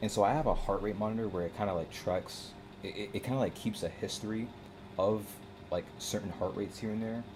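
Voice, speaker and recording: Very fast pace with fairly even intonation. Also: man, fairly low pitch for a man. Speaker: gaming streamer. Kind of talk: live stream commentary. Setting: live stream at computer. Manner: halting, self-interrupting; fast casual filler-heavy.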